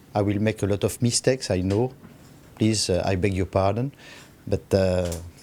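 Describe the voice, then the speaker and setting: A man with a French accent speaks at a fairly slow pace and fairly low pitch. His intonation is fairly even, and background noise is noticeable. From France. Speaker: guest speaker. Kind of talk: public speech. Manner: halting.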